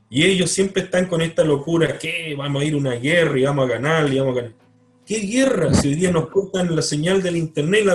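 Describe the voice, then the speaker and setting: Against noticeable background noise, a high-pitched man talks at a fairly quick pace with ordinary pitch variation. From Chile, Punta Arenas. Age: 50s. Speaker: writer. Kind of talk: interview. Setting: video call.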